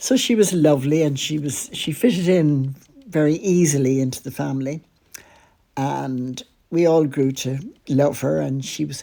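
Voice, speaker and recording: A woman's very deep, low voice in a dark, mellow tone with an Irish accent. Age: 80s+. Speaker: podcaster. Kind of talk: personal storytelling.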